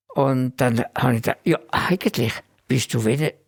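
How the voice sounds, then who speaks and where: Somewhat breathy, a man with a fairly high pitch speaks at a fairly slow pace, the sound dry and close with no echo. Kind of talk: interview answer.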